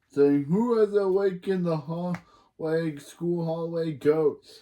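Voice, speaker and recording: High pitch and a fairly slow pace in a man's put-on character voice. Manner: spooky, haunting.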